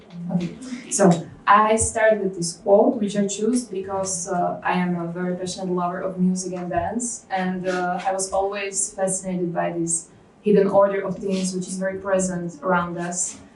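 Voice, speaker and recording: With a Slovak accent, a woman speaks in a monotone, flat intonation amid audible room echo. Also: medium pitch for a woman, moderate pace. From Slovakia. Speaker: cognitive scientist. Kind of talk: conference lecture. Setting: stage with audience. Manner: hesitant, many fillers.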